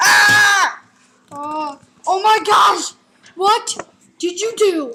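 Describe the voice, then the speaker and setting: A woman puts on a character voice, pitched extremely high. She shouts at a very slow pace. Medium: solo performance. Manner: indignant and boastful.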